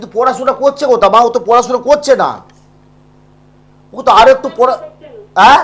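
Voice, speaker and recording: Though his intonation stays fairly even, a man with an extremely high pitch shows big swings in loudness. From India, West Bengal (Bankura district). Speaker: astrologer. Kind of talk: live call-in consultation. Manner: talkative.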